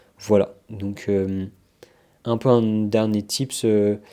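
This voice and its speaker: A man speaks in a fairly low, dark and mellow voice with monotone, flat intonation. The recording is very clean, with a silent background. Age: young. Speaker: vlogger. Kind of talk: casual vlog talk to camera. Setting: at home. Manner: hesitant, many filler sounds.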